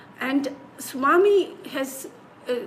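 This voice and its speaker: Lively intonation marks this woman's speech. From Slovenia. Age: 70s. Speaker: spiritual singing teacher. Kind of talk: interview. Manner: halting.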